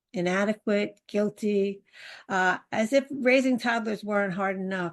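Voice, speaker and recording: With a New York accent, a woman speaks very slowly at a fairly high pitch with ordinary pitch variation. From New York City. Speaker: parenting coach. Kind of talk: interview.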